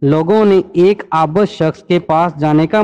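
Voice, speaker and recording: A high-pitched male voice, its intonation fairly even. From Pakistan. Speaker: voice-over artist. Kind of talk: religious story narration.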